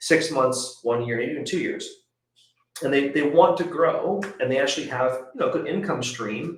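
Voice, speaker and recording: A man's fairly high voice, with ordinary pitch variation, carries audible echo from the room. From Canada. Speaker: podcast host. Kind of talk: podcast interview. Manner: fast.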